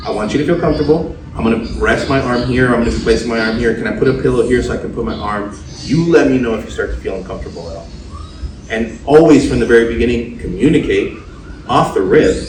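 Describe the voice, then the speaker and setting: A man with an American accent talks at a very fast pace. Noticeable background noise and audible room echo fill the recording. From US, Spanish-speaking family. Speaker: tattoo artist and podcast host. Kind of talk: casual chat.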